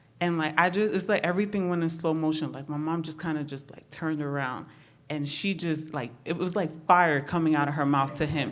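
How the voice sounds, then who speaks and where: Fairly quick speech with fairly even intonation and big swings in loudness, plus audible room echo. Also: woman, very deep, low pitch for a woman. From New York City (Bronx), Honduran Garifuna family. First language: Spanish. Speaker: therapist. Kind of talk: personal testimony. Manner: casual, many fillers.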